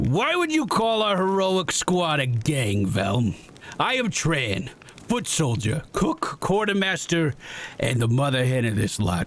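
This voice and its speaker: A man performs a put-on character voice, fairly high in pitch with very wide pitch swings. He moves at a fairly slow pace over light background noise. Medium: game stream.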